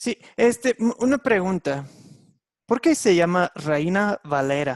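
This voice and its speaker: In an English accent, a man speaks very slowly at a high pitch, his voice swinging very widely up and down. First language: English (speaking Spanish). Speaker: Bible teacher. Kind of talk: online Bible class lesson. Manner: halting, many fillers.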